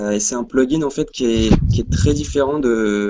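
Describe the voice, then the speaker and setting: With an ordinary speaking voice, a man talks at medium pitch and a moderate pace, with ordinary pitch variation. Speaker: plugin co-founder, developer. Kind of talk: casual chat. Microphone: weak signal, quiet.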